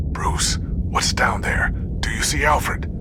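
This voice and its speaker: A man whispering in a put-on character voice at a fairly slow pace, over loud background noise. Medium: machinima. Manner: earnest, emotional.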